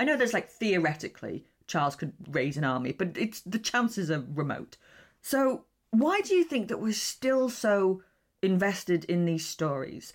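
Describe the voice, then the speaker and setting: A British accent with very wide pitch swings, on a very clean recording with a silent background. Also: woman, medium pitch for a woman, moderate pace. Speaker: podcast host. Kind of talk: casual chat. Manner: animated.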